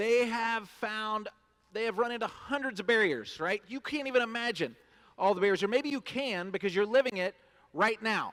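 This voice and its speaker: The man's voice sits at an extremely high pitch. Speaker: nonprofit executive, keynote speaker. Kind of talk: keynote speech. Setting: stage with audience at luncheon. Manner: fast.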